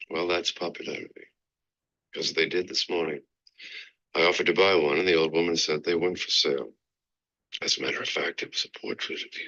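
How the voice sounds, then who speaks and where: A man speaks in a raspy, put-on character voice at a very fast pace. His delivery is broken by long, frequent pauses. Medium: short film. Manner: cool, controlled.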